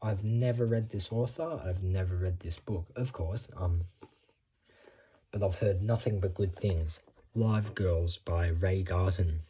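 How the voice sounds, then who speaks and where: With ordinary pitch variation, a man speaks slightly breathily at a fairly slow pace in a very deep, low pitch. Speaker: booktuber. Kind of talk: casual book haul vlog. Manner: rambling, hesitant with many ums.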